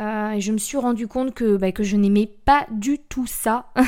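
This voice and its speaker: Recorded very cleanly against a silent background, a woman with a fairly high pitch and a dark, mellow tone keeps her intonation fairly even. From central France (Blois, Loir-et-Cher). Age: 20s. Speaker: podcast host. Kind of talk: casual monologue. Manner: chatty, rambling.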